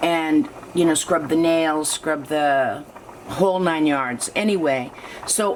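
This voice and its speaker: A woman with a fairly low pitch and ordinary pitch variation speaks fairly slowly against noticeable background noise. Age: 60s. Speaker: artist and video diarist. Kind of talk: casual chat. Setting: kitchen.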